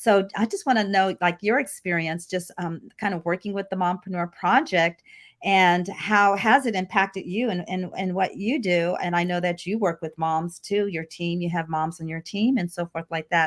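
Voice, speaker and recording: This woman's voice sits at a medium pitch with ordinary pitch variation. She barely pauses, and the recording is very clean with a silent background. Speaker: show host and mompreneur. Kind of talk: casual interview chat. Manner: fast.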